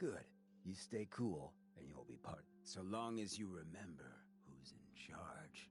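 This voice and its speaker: Putting on a character voice, a man talks at a fairly slow pace in a fairly low pitch over clear background noise. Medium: video game. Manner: laid-back, streetwise.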